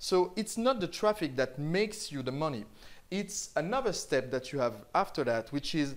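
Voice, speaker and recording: In a very clean recording with a silent background, a man with a French accent speaks at a moderate pace and a fairly high pitch, with very wide pitch swings. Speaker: online marketing teacher. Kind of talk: tutorial.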